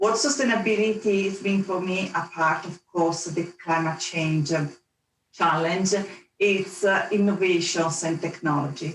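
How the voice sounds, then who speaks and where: A woman speaks in an Italian accent at a fairly low pitch. Her pace is fairly slow, with ordinary pitch variation. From Italy, Venice. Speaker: energy industry executive. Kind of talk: panel discussion.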